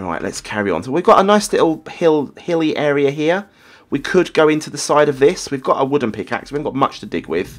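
A man with a fairly high pitch and vocal fry talks at a fairly quick pace. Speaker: gaming YouTuber. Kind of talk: casual gameplay commentary. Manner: hesitant, filler-heavy, repeats words; friendly, upbeat.

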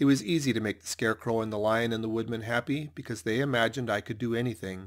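This is an unforced reading voice with fairly even intonation.

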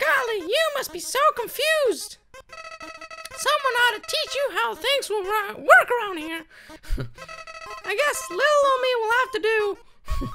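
A put-on character voice at an extremely high pitch and a fairly slow pace, over loud music in the background. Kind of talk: folksy. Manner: cheery, sugary-sweet, secretly sinister.

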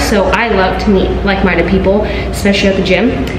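Audible room echo and noticeable background noise surround the recording. A woman speaks at a fairly quick pace. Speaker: fitness vlogger. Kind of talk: casual vlog chat. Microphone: phone near.

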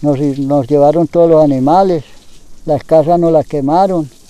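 With fairly even intonation, a man talks at a moderate pace in a fairly high pitch and a dark, mellow tone. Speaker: farmer. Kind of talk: testimony. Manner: halting.

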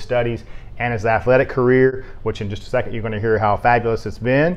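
With an American accent, a man is speaking. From US South. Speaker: sports writer. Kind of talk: sports awards show. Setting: office. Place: studio. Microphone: lapel.

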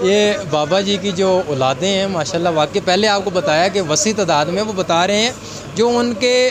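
There is noticeable background noise as a man speaks high, his pitch varying in an ordinary way. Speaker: YouTube interviewer. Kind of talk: presenter talk to camera. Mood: jokey, playful. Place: shop. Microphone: handheld.

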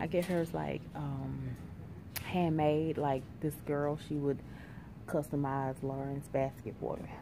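A woman talks very slowly in a very deep, low voice with fairly even intonation. Noticeable background noise runs under her speech. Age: 30s. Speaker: vlogger and hairstylist; vlogger. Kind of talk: casual vlog talk to camera. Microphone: phone near.

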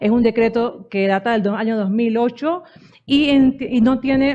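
A woman uses an ordinary speaking voice at a fairly high pitch. Her pitch variation is ordinary. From Central America. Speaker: digital rights NGO representative; conference speaker. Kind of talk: conference talk. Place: hall. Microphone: podium.

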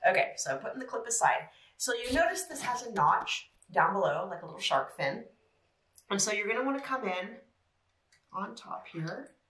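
Audible room echo surrounds speech delivered at a moderate pace with long, frequent pauses. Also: woman. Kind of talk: tutorial. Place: home room.

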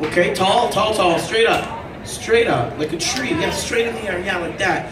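With noticeable background noise behind him, a man keeps up a moderate pace. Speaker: game show host. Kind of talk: stage host instructions. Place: hall.

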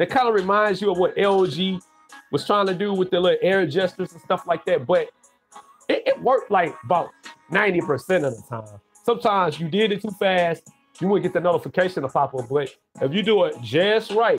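With faint music in the background, a man talks fairly quickly in a high pitch with ordinary pitch variation. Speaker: tech livestreamer. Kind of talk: casual vlog chat. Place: home room. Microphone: webcam.

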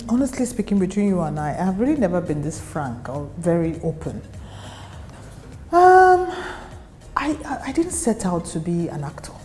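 A woman with a Nigerian accent speaks at a moderate pace, leaving long, frequent pauses, as faint music plays in the background. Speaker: actress. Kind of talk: interview answer. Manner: soft-spoken. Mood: reflective, candid, animated gestures. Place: office.

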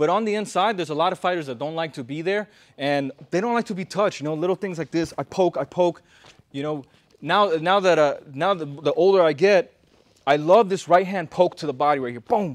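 Fairly quickly, a man speaks at a high pitch. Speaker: boxing coach. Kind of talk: tutorial. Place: gym.

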